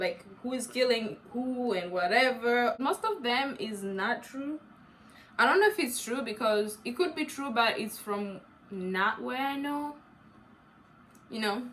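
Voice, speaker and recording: A woman speaks at a fairly slow pace with an African accent, her pitch fairly high with ordinary variation. Noticeable background noise is present. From East Africa, grew up in Uganda. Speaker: YouTuber. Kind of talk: casual chat. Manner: animated.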